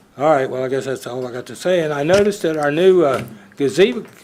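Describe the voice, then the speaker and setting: Room echo can be heard clearly. The speaker is a man. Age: 80s+. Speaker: citizen speaker at public comment. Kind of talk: public comment at council meeting. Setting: council chamber. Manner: animated.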